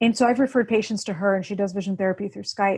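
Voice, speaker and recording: This woman's voice sits at a medium pitch and is somewhat breathy. Her pitch varies in an ordinary way. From born in Russia, grew up in the US. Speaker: author and vision therapy patient advocate. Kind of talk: interview.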